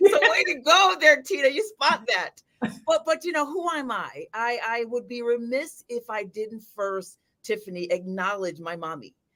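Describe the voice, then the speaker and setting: A high-pitched woman with a Jamaican accent, her bright, sharp tone marked by very wide pitch swings and big swings in loudness. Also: moderate pace. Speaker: financial advisor. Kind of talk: live video chat interview. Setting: livestream. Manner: animated.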